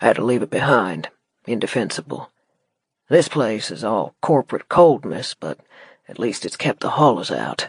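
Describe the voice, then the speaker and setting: In a put-on character voice, a man drawls at a moderate pace with a medium pitch, lively intonation and big swings in loudness, in a dry, close sound with no echo. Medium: read story. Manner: drawling, laconic.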